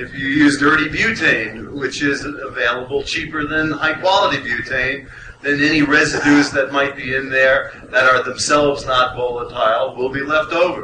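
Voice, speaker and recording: Noticeable background noise and audible room echo surround a man's voice. His pitch is fairly high and his intonation fairly even. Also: moderate pace. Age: 60s. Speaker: cannabis researcher on a panel. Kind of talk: panel discussion.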